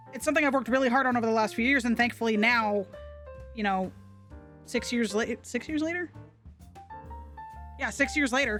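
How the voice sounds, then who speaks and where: The speaker talks at a fairly quick pace but stops often for long pauses. Music plays in the background. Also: woman, fairly high pitch for a woman, ordinary pitch variation. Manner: speaking with effort to open mouth.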